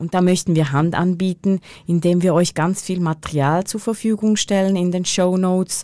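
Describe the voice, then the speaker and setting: A woman speaks with a dark, mellow tone. Her intonation is fairly even. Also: medium pitch for a woman, moderate pace. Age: 40s. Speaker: podcast co-host. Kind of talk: casual chat. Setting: studio.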